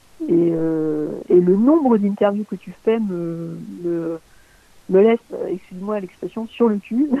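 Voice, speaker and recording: Her pace very slow, a woman speaks at medium pitch with ordinary pitch variation, big swings in loudness and long, frequent pauses. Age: 40s. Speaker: LinkedIn community manager and content strategist. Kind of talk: interview. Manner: halting, many fillers and repetitions.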